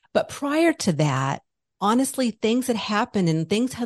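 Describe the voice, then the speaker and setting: A woman with a plain, everyday voice speaks at a moderate pace with lively intonation. The sound is dry and close with no echo, over a quiet background. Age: 50s. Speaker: spiritual business owner and podcaster. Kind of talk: interview conversation; guided exercise.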